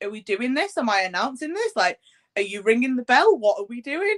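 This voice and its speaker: Lively in intonation and fairly quick in pace, a woman with an English accent speaks at a fairly high pitch in a dry, close sound with no echo. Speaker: podcast host and wrestling ring announcer. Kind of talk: interview. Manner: loud; casual, filler-heavy.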